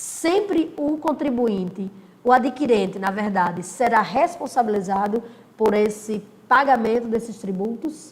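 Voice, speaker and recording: A woman with a fairly high voice and lively intonation speaks at a fairly slow pace, with audible room echo and noticeable background noise. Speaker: law teacher. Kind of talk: recorded lecture. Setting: recording alone, no live class.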